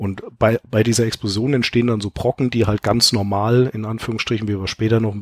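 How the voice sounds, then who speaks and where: Recorded dry and close with no echo, a man speaks at a very fast pace with a fairly low pitch and fairly even intonation. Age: 30s. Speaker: software entrepreneur and experienced gamer. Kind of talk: casual chat. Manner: explanatory.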